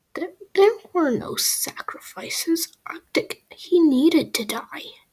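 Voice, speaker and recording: A put-on character voice, extremely high in pitch and raspy. The delivery comes at a fairly slow pace. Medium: audio drama. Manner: stammering, distressed.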